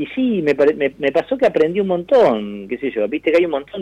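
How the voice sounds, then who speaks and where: The sound is dry and close, with no echo at all. A man's words come at a moderate pace. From Argentina. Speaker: actor. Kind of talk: interview.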